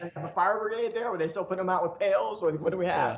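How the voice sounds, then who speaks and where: Noticeable background noise and audible room echo surround a speaker with a Southern US accent. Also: man. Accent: southern drawl. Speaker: poster artist. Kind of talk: casual chat. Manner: fast.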